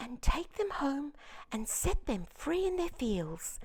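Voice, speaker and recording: A female-sounding voice performs a put-on character voice. It is raised and projected. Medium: read story. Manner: refined, polite.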